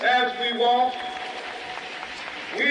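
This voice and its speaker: A man with an American accent projects a raised voice in a passionate, solemn tone at a very slow pace. His pitch is extremely high, and crowd noise fills the background. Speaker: civil rights leader giving a public speech. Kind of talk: historic oratory to a large crowd. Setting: outdoor rally, historic audio recording. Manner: passionate, solemn, rhetorical.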